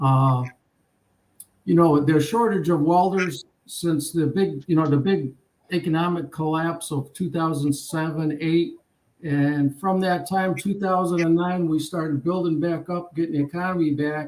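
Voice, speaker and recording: This man talks in an unremarkable speaking voice, fairly high-pitched for a man, at a moderate pace with fairly even intonation. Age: 60s. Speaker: retired welding instructor. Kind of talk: casual chat. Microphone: school laptop.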